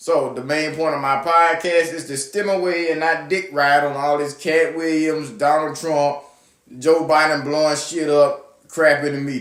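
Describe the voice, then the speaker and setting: Speaking in a Southern US accent, this man's voice sits at a fairly high pitch. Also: moderate pace. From US South. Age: 20s. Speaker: podcast host. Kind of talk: casual monologue. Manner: animated.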